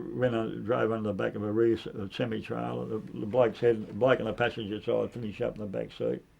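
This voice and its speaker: A man at a moderate pace in a strong Australian accent. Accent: broad Australian. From Sydney, Australia. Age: 70s. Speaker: former gangster and enforcer. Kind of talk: casual interview chat. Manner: halting, repetitive.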